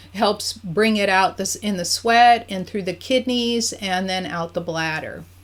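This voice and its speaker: A woman speaks in a plain, everyday voice at a medium pitch with ordinary pitch variation. Her pace is fairly slow, with hardly any pauses. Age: 60s. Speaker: energy healer. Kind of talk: tutorial. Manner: casual conversational.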